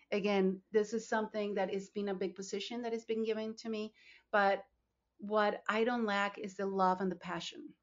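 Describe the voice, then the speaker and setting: Speaking in a Spanish accent at a moderate pace, a woman of medium pitch keeps a monotone, flat intonation. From Colombia (Bogota). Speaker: nonprofit founder and CEO. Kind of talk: podcast interview.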